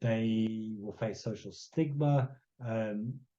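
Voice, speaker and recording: The speaker is a man with a dark, mellow tone. His voice is somewhat breathy. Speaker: conservation scientist giving a talk. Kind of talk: lecture. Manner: slow; halting, many repetitions and fillers.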